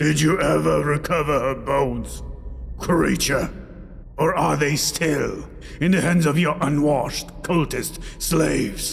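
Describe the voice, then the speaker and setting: Against clear background noise, a man performs a put-on character voice. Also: fairly slow pace. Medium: read story. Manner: growled, mocking.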